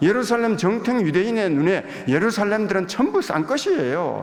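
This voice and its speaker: This man keeps to a moderate speed. His pitch rises and falls very widely. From Gyeongsang province, South Korea. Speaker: visiting pastor. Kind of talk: sermon. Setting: church pulpit.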